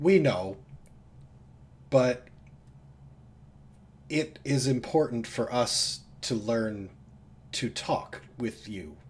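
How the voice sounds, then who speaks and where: In a raspy put-on character voice at medium pitch, a man speaks at a very slow pace with long, frequent pauses. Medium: actual play. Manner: simple, earnest phrasing.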